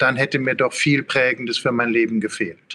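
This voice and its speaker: Here a man with a medium pitch and an unremarkable speaking voice keeps a moderate pace and fairly even intonation. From Ruhr area, Germany. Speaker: philosophy professor. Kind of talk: interview.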